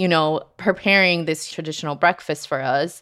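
A woman's ordinary speaking voice at a moderate pace, with ordinary pitch variation, in a very clean recording with a silent background. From Colombia, raised in New Jersey. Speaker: guest telling personal story. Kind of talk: personal storytelling.

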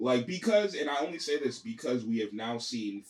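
The man's tone is animated. His pitch sits at a medium level. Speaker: podcast host. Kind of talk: casual chat.

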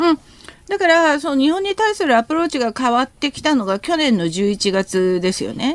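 A woman speaks at a moderate pace with a high pitch. Her pitch swings very widely, and the sound is dry and close with no echo. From South Korea. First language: Korean (speaking Japanese). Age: 50s. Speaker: professor. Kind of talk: radio interview, expert commentary.

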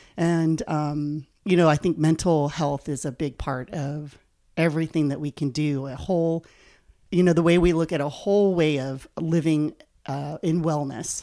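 In a very clean recording with a silent background, a woman speaks at a moderate pace. Her very deep, low voice has a dark, mellow tone and fairly even intonation. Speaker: life coach. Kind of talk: casual interview.

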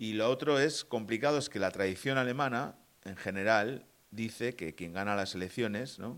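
On a very clean recording with a silent background, a man talks in a plain, everyday voice at medium pitch, with ordinary pitch variation and a moderate pace. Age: 40s. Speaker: podcast co-host. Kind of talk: casual political chat.

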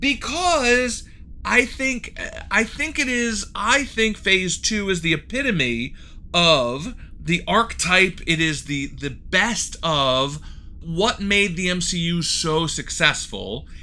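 A man's raised, projected voice, high in pitch and bright and sharp, with very wide pitch swings at a very slow pace. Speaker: podcast co-host. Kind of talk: casual chat.

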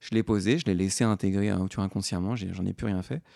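An ordinary speaking voice comes at a moderate pace in a dry, close sound with no echo, on a very clean recording with a silent background. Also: man. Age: 30s. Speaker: podcaster. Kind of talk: interview conversation.

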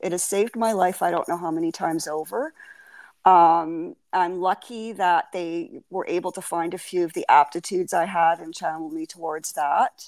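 On a very clean recording with a silent background, a woman speaks at a moderate pace with an unremarkable speaking voice. Her pitch is fairly low and her intonation fairly even. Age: 60s. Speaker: podcast guest. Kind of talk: interview.

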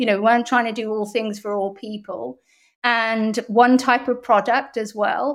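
Over a silent background in a very clean recording, a woman with an English accent talks at a moderate pace, her pitch fairly high and her intonation fairly even. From Bath, England. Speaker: PR agency founder. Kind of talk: podcast interview.

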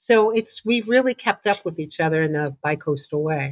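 A woman speaks at a moderate pace with lively intonation, in an ordinary speaking voice. The sound is dry and close with no echo, and the recording is very clean over a silent background. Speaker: photographer. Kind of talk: casual chat.

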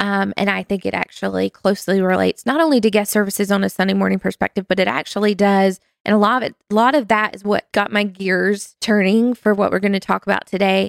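A woman speaks at a very fast pace with hardly any pauses, her pitch medium and her intonation fairly even. The sound is dry and close, with no echo. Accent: North Carolina. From US South. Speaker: small group ministry staff member. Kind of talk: casual interview conversation.

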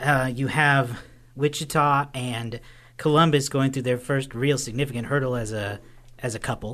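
Against a quiet background, a man with an American accent speaks at a moderate pace in a plain, everyday voice of medium pitch with fairly even intonation. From Oklahoma, Tulsa. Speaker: podcast host, movie reviewer. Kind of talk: casual chat.

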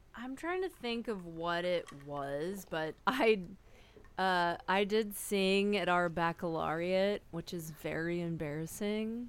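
A woman talks at a very slow pace in a medium pitch. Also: ordinary pitch variation. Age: 40s. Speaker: podcast guest. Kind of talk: casual chat.

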